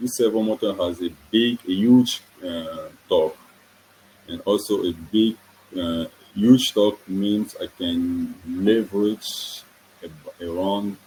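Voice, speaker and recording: A man with a French accent speaks at a very slow pace, leaving long, frequent pauses. His loudness swings widely, while his pitch varies in an ordinary way. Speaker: student engineer presenting a project. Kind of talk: technical presentation. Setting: online webinar. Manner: halting, self-correcting.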